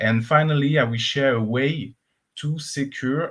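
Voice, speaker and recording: A man speaks in a French accent. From France. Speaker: cloud engineer and conference speaker. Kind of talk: conference talk. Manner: frequent filler uh.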